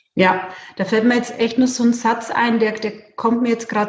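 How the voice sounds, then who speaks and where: A woman speaks at a moderate pace in a normal speaking voice. Her pitch sits fairly high. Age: 40s. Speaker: bank clerk and network marketer. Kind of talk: interview.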